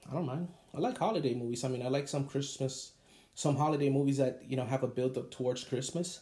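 A man's somewhat breathy, dark and mellow voice at medium pitch, very fast pace and fairly even intonation. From Puerto Rico. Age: 30s. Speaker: podcast host. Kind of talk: casual monologue.

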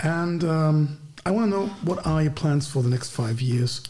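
A man with a German accent and a fairly high voice, at a fairly slow pace with ordinary pitch variation, in audible room echo. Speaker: podcast host. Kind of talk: casual chat.

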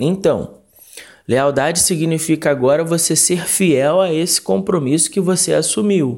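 Speaking at a fairly slow pace, a man keeps his loudness very even while his high voice shows ordinary pitch variation. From Rio de Janeiro, Brazil. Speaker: pastor. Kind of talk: recorded Bible study. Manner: halting, with fillers.

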